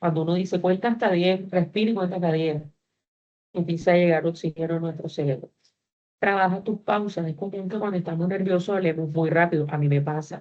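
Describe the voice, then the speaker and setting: A plain, everyday voice speaks at a fairly quick pace. The intonation stays fairly even. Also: woman, fairly low pitch for a woman. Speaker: university teacher. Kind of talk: online class lecture.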